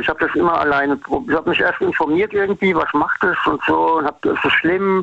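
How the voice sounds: Talking at a fairly quick pace, a man uses a fairly bright tone, fairly even intonation and vocal fry.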